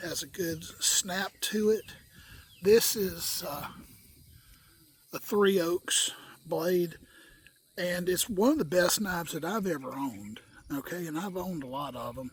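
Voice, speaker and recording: Pitched high for a man, he talks at a fairly slow pace with lively intonation. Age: 60s. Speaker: bushcraft video maker. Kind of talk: casual tutorial. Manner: folksy, repeats okay often.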